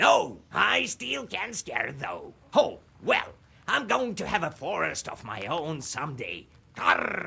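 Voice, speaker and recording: Putting on a character voice, a man speaks at a fairly slow pace. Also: fairly high pitch for a man. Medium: game stream. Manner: punctuates speech with crow caws.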